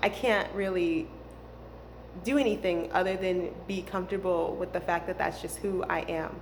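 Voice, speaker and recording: Speaking at a moderate pace with ordinary pitch variation, a woman at medium pitch is heard against audible room echo. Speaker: spiritual healing vlogger. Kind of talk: casual monologue. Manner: hesitant, many fillers.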